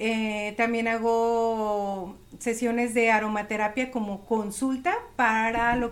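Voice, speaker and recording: Over music in the background and audible room echo, a woman speaks at a fairly high pitch with fairly even intonation. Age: 40s. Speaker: emotional therapist and aromatherapist. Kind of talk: casual interview.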